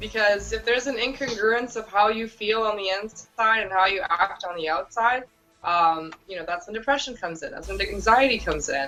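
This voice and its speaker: A Romanian accent at a fairly quick pace, with ordinary pitch variation, big swings in loudness and noticeable background noise. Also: woman, fairly high pitch for a woman. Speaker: entrepreneur and blogger. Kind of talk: interview. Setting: virtual summit, remote call.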